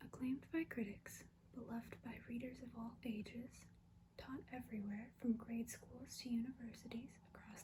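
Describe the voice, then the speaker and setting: Soft-spoken delivery at a moderate pace. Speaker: ASMR artist. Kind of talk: reading a book review aloud, ASMR. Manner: soft-spoken, relaxing.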